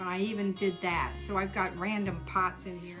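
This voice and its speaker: A woman talks at a moderate pace and medium pitch while music plays in the background. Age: old. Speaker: homesteader. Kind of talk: casual talk to camera.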